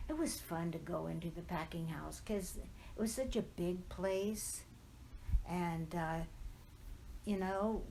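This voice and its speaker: With an American accent, a woman speaks at a fairly slow pace amid audible room echo. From Southern California, Riverside. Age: 80s+. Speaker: oral history interviewee. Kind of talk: oral history interview. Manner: reminiscing, conversational.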